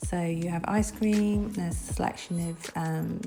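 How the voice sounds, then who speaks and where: Someone with a British accent speaks with music playing in the background. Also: woman. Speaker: travel vlogger / hotel reviewer. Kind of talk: casual travel review narration. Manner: hesitant, with filler sounds.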